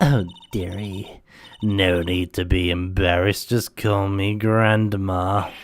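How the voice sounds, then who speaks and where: Using a put-on character voice, a man delivers his lines in a monotone, flat intonation at a fairly slow pace. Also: fairly low pitch for a man. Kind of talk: sweet, flustered. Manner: sweet and chatty.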